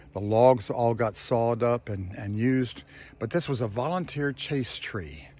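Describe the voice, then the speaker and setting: Speaking in an American accent, a man at medium pitch uses lively intonation and a moderate pace. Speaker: homesteader, gardener vlogger. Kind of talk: casual video walkthrough tour. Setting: outdoors. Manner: halting, many fillers and repeats.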